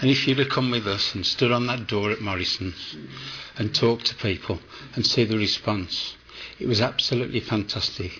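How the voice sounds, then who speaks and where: A man with a West Midlands accent at a moderate pace, ordinary pitch variation and noticeable background noise. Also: medium pitch for a man. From West Midlands, England. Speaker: food bank volunteer. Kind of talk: interview. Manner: animated.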